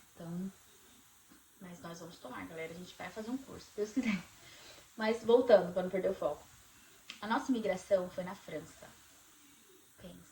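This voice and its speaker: With a Brazilian accent, the speaker moves at a moderate pace with ordinary pitch variation, long, frequent pauses and big swings in loudness. Background noise is noticeable. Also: woman, medium pitch for a woman. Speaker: vlogger. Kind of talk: casual chat.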